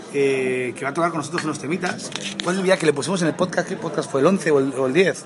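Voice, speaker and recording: A man talks at a very fast pace in a fairly high pitch, with ordinary pitch variation. Noticeable background noise runs underneath. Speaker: band member and podcast host. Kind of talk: casual chat. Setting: restaurant dinner before a concert.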